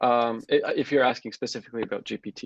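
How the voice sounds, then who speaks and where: A man with a Turkish accent, dry, close sound with no echo, against a quiet background. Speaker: software developer. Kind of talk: interview. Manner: hesitant, many fillers.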